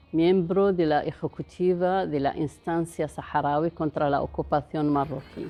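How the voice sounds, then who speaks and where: Speaking at a fairly slow pace, the woman has a very deep, low pitch and fairly even intonation. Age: 70s. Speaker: human rights defender. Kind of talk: interview. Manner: halting.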